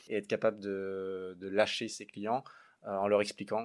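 A man speaks at a moderate pace with a fairly low pitch and monotone, flat intonation. The recording is very clean with a silent background. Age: 30s. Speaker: app co-founder. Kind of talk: interview.

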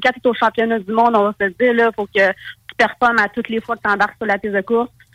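A woman's fairly high voice with a Quebec accent, fairly even intonation, a moderate pace, and a dry, close sound with no echo. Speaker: snowmobile racer. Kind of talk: interview.

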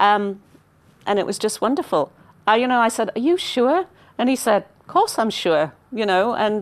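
Moderate pace, in a northeast English accent. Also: woman. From northeast England, mining village. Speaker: business executive. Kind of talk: interview.

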